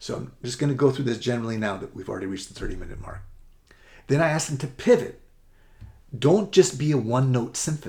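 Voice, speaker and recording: A man talks in a somewhat breathy voice with an American accent. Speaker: college admissions essay coach. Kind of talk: presentation to parents. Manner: rushed, fast.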